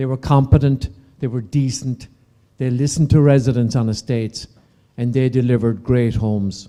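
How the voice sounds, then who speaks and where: A man with an Irish accent speaks at a moderate pace and medium pitch. His tone is dark and mellow, with fairly even intonation. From Ireland. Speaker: property developer. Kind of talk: conference panel talk. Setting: conference stage with audience.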